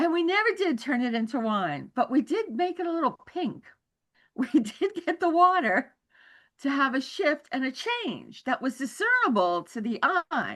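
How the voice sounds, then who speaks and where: A woman's high voice at a moderate pace, full of very wide pitch swings. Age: 70s. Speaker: spiritual study group member. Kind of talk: interview.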